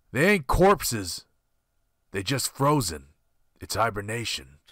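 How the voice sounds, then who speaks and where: In a put-on character voice, a raspy man speaks at a fairly slow pace with very wide pitch swings around a medium pitch, on a very clean recording with a silent background. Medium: audio drama.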